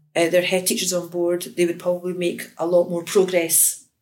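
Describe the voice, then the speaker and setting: Flat and monotone, a woman speaks with a Glaswegian accent at a fairly low pitch. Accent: Glaswegian Scottish. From Scotland, Glasgow. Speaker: education lecturer. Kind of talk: interview.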